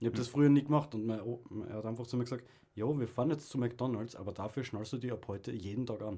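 Very fast speech comes from a man at medium pitch with fairly even intonation. His tone is dark and mellow, and somewhat breathy. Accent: Austrian. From Austria. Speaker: podcast co-host. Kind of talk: casual chat. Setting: radio studio.

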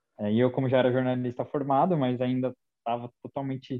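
At a moderate pace, a man talks in a medium pitch. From São Caetano do Sul, greater São Paulo, Brazil. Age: 30s. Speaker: sports journalist. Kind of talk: casual chat.

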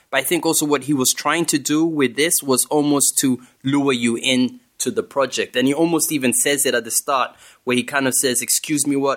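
Speaking at a fairly quick pace, a man has an unremarkable speaking voice with fairly high pitch. His intonation is fairly even, and the recording is very clean with a silent background. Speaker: rapper. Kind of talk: casual chat.

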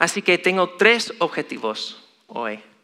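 The voice belongs to a man with an American accent. It has a bright, sharp tone. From US, Chicago. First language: English (speaking Spanish). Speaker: lay preacher. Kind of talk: sermon. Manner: halting.

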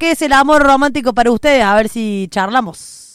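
Speaking at a fairly quick pace, a woman uses lively intonation and a high pitch. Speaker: radio host. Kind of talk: casual chat. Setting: studio.

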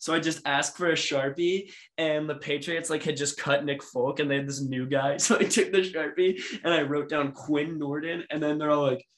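A man speaks in a plain, everyday voice at a fairly high pitch. His pace is moderate and his intonation fairly even. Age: 20s. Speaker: sports podcast co-host. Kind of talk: casual chat.

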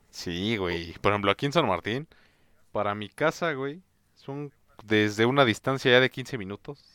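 Recorded very cleanly with a silent background and a dry, close sound with no echo, a man with a Mexican accent speaks fairly slowly in a bright, sharp tone, his intonation lively and his loudness swinging widely. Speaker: podcast co-host. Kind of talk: casual chat.

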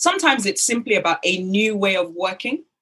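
A woman speaks in a British accent at a fairly quick pace. Her pitch is medium with ordinary variation. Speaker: business development and networking expert. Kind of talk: interview.

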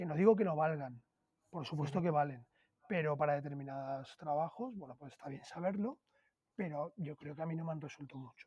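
A man with a fairly high pitch talks in a somewhat breathy voice, dark and mellow in tone, with ordinary pitch variation. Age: 40s. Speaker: food influencer, former banker. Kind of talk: interview conversation.

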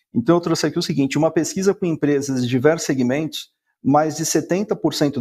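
Fairly high-pitched male voice with a dark, mellow tone and fairly even intonation, on a very clean recording with a silent background. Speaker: sales director. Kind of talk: business presentation.

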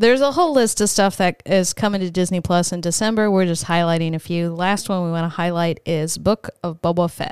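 A woman speaks at a fairly quick pace with hardly any pauses. Her pitch is fairly low, with ordinary variation. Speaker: podcast co-host. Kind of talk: casual banter, podcast chat. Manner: animated, playful.

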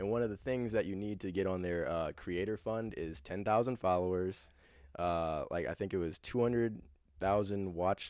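A man talks at a moderate pace in a plain, everyday voice, pitched fairly low with fairly even intonation. The recording is very clean, with a silent background. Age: 20s. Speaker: content creator. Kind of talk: casual chat.

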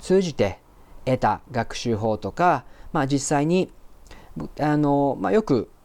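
A man speaks very slowly at a fairly high pitch, his intonation lively and his pauses long and frequent. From Japan (Osaka area). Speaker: podcast host, interpreter and translator. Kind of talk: solo podcast monologue. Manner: hesitant, many fillers.

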